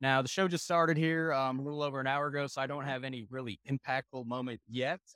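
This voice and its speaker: A man with an American accent, medium pitch, a bright, sharp tone, fairly even intonation and a very fast pace, on a very clean, dry, close recording with a silent background and no echo. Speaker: industry guest. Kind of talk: interview at trade show. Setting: industry trade show.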